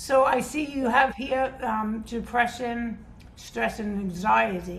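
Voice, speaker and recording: Audible room echo surrounds a woman speaking at a fairly slow pace, her fairly high pitch held in fairly even intonation. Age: 60s. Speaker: fitness instructor. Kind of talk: casual interview chat. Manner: halting, many fillers.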